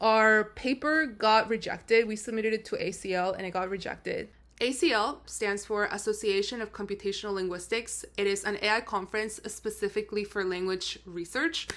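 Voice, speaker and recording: A woman talks at a fairly quick pace with hardly any pauses. Her voice is fairly high, with ordinary pitch variation. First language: not English. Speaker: AI research engineer, vlogger. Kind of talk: casual vlog narration.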